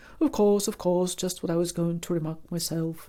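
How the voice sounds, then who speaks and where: A woman talks at a moderate pace in a put-on character voice, hoarse and fairly low-pitched for a woman. Her intonation stays fairly even. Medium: read story. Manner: sleepy.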